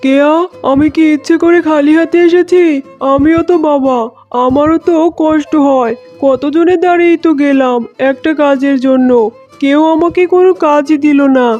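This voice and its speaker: This is a cartoonish character voice at a moderate pace. Faint music plays in the background. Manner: steady, consoling.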